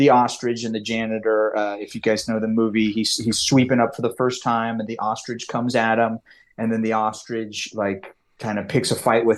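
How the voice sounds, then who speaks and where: Against a quiet background, a man with a Californian accent speaks at a moderate pace and medium pitch. His intonation is monotone and flat. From US West, California (Lake Tahoe). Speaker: comics writer and screenwriter. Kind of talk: podcast interview. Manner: halting, many fillers and restarts.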